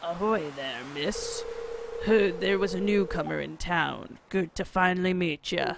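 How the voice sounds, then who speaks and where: Using a put-on character voice, a man talks high in pitch and at a fairly slow pace. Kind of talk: nautical, salty.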